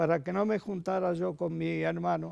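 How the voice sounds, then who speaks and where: A man at a very slow pace. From Spain. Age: 90s. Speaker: church fresco painter. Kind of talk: interview.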